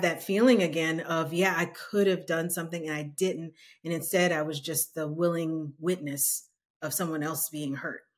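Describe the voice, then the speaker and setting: With an ordinary speaking voice, a woman with an American accent talks at a moderate pace in a fairly low pitch with fairly even intonation, on a very clean recording with a silent background. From New Orleans, US South. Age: 40s. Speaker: nonprofit leader in diversity and entrepreneurship. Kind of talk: casual interview chat.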